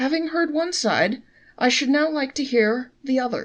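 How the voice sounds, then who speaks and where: At a moderate pace, a woman puts on a character voice with a high pitch. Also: ordinary pitch variation. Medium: read story. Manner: calm, measured.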